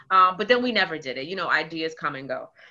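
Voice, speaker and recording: A woman speaks with a New York accent. Her intonation is lively. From Queens, New York. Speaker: community organizer; interview guest. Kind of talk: casual interview. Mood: warm, engaged. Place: home room. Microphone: video call.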